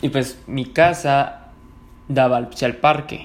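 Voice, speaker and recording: This man's fairly high-pitched voice moves with fairly even intonation. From Mexico, Ciudad Juárez, Chihuahua. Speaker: podcaster. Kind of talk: casual storytelling monologue. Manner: relaxed, filler-heavy.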